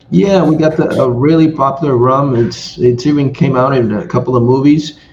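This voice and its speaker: A man talks at a fairly high pitch and moderate pace with ordinary pitch variation. Audible room echo and noticeable background noise accompany him. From Nicaragua, Granada. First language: Spanish. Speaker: podcast co-host. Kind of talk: casual chat.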